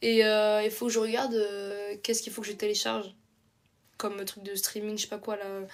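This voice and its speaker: With long, frequent pauses, a woman speaks at a fairly high pitch in a monotone, flat intonation while her loudness swings widely. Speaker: live streamer. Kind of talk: casual chat. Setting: live stream. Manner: casual, hesitant.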